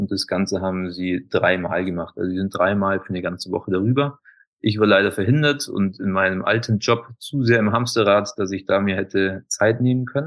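A man uses an ordinary speaking voice at a fairly quick pace. He speaks fairly low, and his pitch varies in an ordinary way. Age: 30s. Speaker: alkaline bath practitioner, former golf instructor. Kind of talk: interview.

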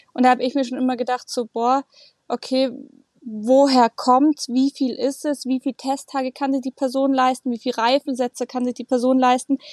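With monotone, flat intonation, a woman talks at a moderate pace and a high pitch in a dry, close sound with no echo. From Germany, Munich (Bavaria). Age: 20s. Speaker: racing driver. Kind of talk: podcast interview.

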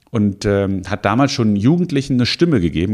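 The recording is very clean and the background silent. A man speaks fairly quickly. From Hesse, Offenbach district near Frankfurt. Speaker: mayoral candidate. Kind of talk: political interview. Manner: hesitant fillers.

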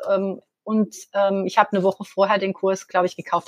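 A woman talks at a very fast pace, the sound dry and close with no echo. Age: 40s. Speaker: accountant. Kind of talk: interview testimony. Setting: live online interview. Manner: hesitant, many fillers.

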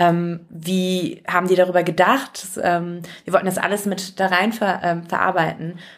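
The delivery comes at a fairly slow pace with a monotone, flat intonation. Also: woman, medium pitch for a woman. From Germany, Turkish family. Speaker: actress and singer. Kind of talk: interview.

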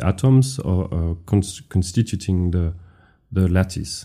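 A man with a dark, mellow tone and fairly low pitch speaks at a very slow pace with ordinary pitch variation. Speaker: physics professor. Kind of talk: explanatory interview talk.

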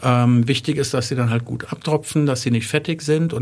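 In a very clean recording with a silent background, a man speaks in a plain, everyday voice of medium pitch at a moderate pace, his intonation fairly even. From Germany, Wertheim (northern Baden-Württemberg). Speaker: chef and catering business owner. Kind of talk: interview. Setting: studio.

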